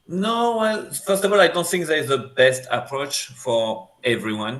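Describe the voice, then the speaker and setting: In a French accent, a man speaks at a fairly slow pace with very wide pitch swings. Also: fairly high pitch for a man. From France. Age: 40s. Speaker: screenwriter. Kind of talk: interview. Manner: halting.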